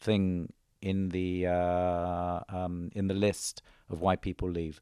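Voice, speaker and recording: A man with a London accent and a very deep, low pitch, his tone dark and mellow, on a very clean recording with a silent background. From London, England. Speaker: bank executive. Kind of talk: interview. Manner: hesitant, many fillers.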